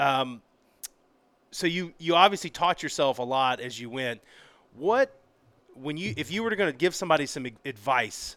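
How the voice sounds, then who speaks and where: On a very clean recording with a silent background, a man with a fairly high pitch talks with lively intonation and a bright, sharp tone. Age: 40s. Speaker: podcast host. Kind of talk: casual interview chat while grilling. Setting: studio with grill.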